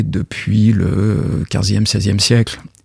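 The sound of a man's dark, mellow voice is dry and close, with no echo. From France, Paris. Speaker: literary translator and university lecturer. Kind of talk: radio interview.

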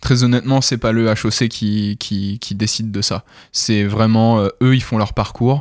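Over a very clean recording with a silent background, a man speaks at medium pitch and a very slow pace. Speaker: comedy show organizer. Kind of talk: radio interview. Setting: studio. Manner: energetic; hesitant, many fillers.

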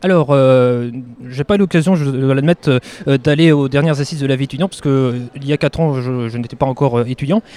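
Speaking very fast, a man with a fairly high pitch and a dark, mellow tone is heard in a dry, close sound with no echo. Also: ordinary pitch variation. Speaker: student vice-president. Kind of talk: interview. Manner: halting.

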